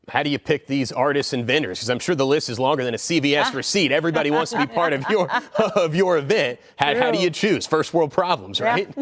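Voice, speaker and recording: Upbeat, energetic, very fast talk from a man with fairly high pitch and lively intonation, against noticeable background noise. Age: 30s. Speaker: lifestyle TV host. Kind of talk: upbeat TV interview host banter. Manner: upbeat, energetic, jokey.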